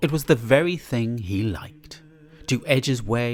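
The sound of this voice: A man speaks at a fairly slow pace, his medium-pitched voice carrying lively intonation and a slightly mellow tone.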